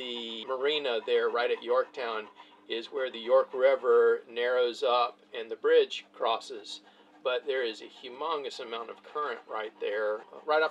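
Loudness swings widely at a fairly slow pace over light background noise. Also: man. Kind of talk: casual vlog chat. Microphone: camera far.

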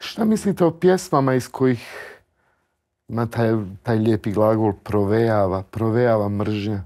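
Against a quiet background, a man with a medium pitch and a dark, mellow tone speaks at a fairly slow pace with lively intonation. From central Bosnia. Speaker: talk show host. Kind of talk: interview. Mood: calm, respectful, thoughtful. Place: studio. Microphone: lapel.

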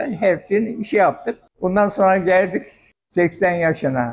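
With ordinary pitch variation, a man delivers his speech at a moderate pace. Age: 90s. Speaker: restaurant owner. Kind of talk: interview. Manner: casual. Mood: calm, reminiscing. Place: kitchen. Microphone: handheld.

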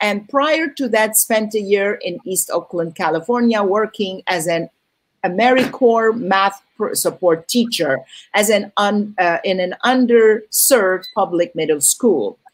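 A woman with a plain, everyday voice, fairly high pitch and lively intonation, at a fairly slow pace over a quiet background. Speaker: film festival host. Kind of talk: event introduction. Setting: video call. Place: home room.

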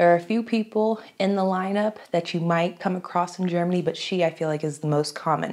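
Against a quiet background, an animated voice with an American accent moves at a fairly quick pace with hardly any pauses and ordinary pitch variation. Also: woman. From United States. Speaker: YouTuber. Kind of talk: casual vlog talk to camera. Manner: chatty, animated. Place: home room.

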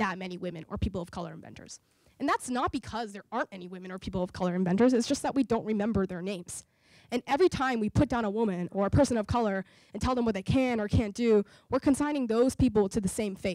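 A woman with an American accent talks very fast at a fairly high pitch, her pitch varying in an ordinary way and her loudness swinging widely. The sound is dry with no echo, over a quiet background. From US South, New Orleans, Louisiana; Louisiana. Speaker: entrepreneur and inventor; guest. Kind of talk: public talk. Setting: stage with audience. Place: hall. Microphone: handheld.

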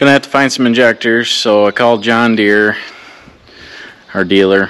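The sound is dry with no echo as a man talks at a fairly slow pace with ordinary pitch variation. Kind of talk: casual vlog chat. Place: open country. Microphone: phone near.

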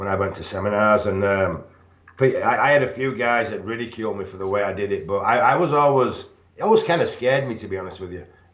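Rather brisk speech rings with audible room echo. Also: man. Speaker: remote interview guest. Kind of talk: interview answer. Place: home room. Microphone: video call.

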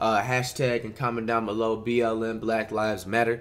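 A man speaks at a medium pitch and a moderate pace. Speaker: YouTube reaction streamer. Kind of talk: casual reaction over game footage. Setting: online video reacting to game broadcast. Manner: excitable, loud, animated, profane. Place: home room.

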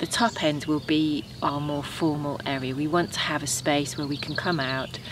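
Over noticeable background noise, a woman with a very deep, low pitch speaks at a moderate pace in a dry sound with no echo. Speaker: home gardener vlogger. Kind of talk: casual vlog chat. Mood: calm, reflective, content. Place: garden.

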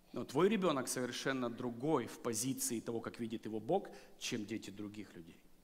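A man's medium-pitched voice at a moderate pace, with lively intonation and big swings in loudness. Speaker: guest preacher. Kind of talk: sermon. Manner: animated. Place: church.

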